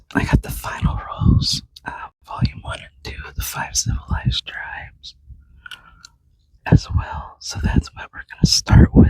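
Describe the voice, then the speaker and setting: Someone whispers at a fairly slow pace. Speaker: genealogy podcast host. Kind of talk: casual vlog narration. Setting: library. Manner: quiet.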